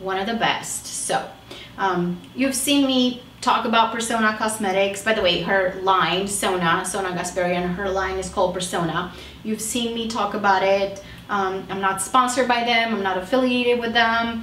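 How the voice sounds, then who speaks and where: Noticeable background noise and audible room echo surround a woman speaking at a moderate pace and medium pitch, with ordinary pitch variation. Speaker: beauty vlogger, makeup artist. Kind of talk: casual product review chat.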